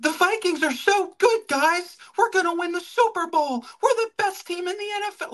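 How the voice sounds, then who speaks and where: A squeaky put-on character voice in an extremely high pitch talks at a moderate pace. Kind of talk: put-on, pretend voice. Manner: exaggerated, gushing, forced.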